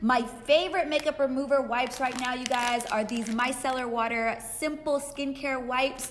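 A woman's high-pitched voice at a moderate pace, hardly any pauses, faint music in the background. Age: 20s. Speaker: beauty vlogger. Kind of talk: product review tutorial. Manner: animated.

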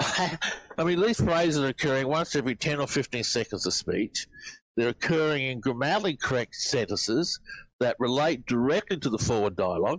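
Keeping very even loudness, a man talks at a fairly quick pace and fairly high pitch with very wide pitch swings. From Australia. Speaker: reverse speech researcher. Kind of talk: interview answer.

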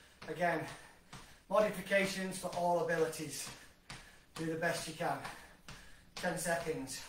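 Moderate-paced speech from a man with a high voice, plus noticeable background noise and audible room echo. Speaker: fitness instructor. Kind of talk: workout class instruction. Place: kitchen. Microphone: camera far.

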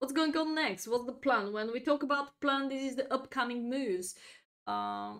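With a non-native accent, a woman talks at a high pitch. The background is quiet. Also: ordinary pitch variation, moderate pace. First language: not English. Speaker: chess grandmaster and streamer. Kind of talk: chess lesson livestream. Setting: live stream.

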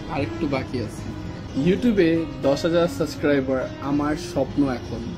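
Lively intonation carries over clear music in the background. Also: man, fairly high pitch for a man. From Bangladesh. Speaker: vlogger, game host. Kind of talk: casual talk to camera. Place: garden. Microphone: camera far.

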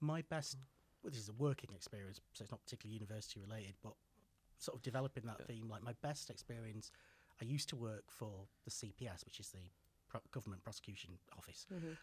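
A man with a Mancunian accent, somewhat breathy, at a very fast pace with long, frequent pauses. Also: ordinary pitch variation. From Manchester, England (Sale); England. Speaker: PhD student; podcast guest. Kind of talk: casual chat. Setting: studio. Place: studio. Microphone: studio mic.

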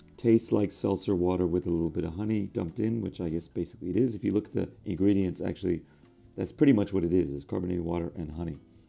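Over music in the background, a man with a very deep, low pitch speaks at a very fast pace. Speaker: soda reviewer. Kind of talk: casual taste test review. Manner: hesitant, filler-heavy.

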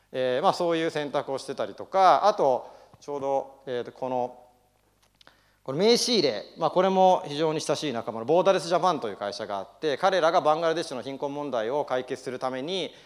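The background is free of noise. A man talks at a fairly quick pace. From Japan (Nagano), partly raised in Los Angeles; Japan. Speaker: business founder. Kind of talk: speech. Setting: stage with audience. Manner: hesitant with many fillers. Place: hall.

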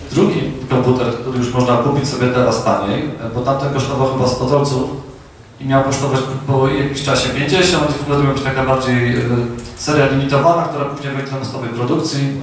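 Very fast, monotone, flat speech amid strong room echo and light background noise. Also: man. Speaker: presenter and speaker at a tech meetup. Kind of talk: casual tech talk to an audience. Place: hall.

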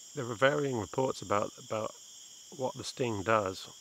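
Man's voice at a fairly quick pace, ordinary pitch variation, dry sound with no echo, light background noise. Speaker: presenter. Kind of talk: casual nature explanation to camera.

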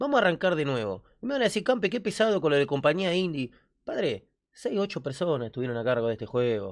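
Against a quiet background, a man talks at a very fast pace with very wide pitch swings. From Argentina. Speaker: gaming youtuber. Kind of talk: reaction video commentary. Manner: animated. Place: home room. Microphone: studio mic.

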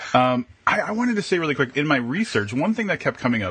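The speaker is male. He uses lively intonation. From Wisconsin. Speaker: podcast co-host. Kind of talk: casual chat. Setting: live video stream. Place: home room. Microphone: video call.

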